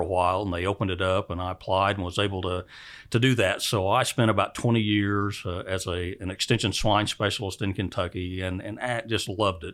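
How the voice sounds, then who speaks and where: On a very clean recording with a silent background, a man with an American accent uses an ordinary speaking voice, fairly low in pitch, at a fairly quick pace with fairly even intonation. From Oklahoma, US. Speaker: university department head in animal science. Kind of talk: interview. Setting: office.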